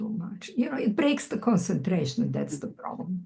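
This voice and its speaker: A somewhat breathy woman's voice at medium pitch with a Croatian accent. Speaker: poet. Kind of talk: Q&A conversation. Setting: video call.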